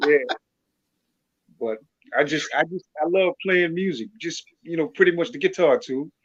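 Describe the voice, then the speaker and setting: This man has a high pitch, a slight Louisiana accent and lively intonation, speaking at a moderate pace. Long, frequent pauses break up his speech, and the sound is dry and close with no echo. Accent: faint Louisiana accent, speaks clearly. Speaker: music producer and artist. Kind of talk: interview.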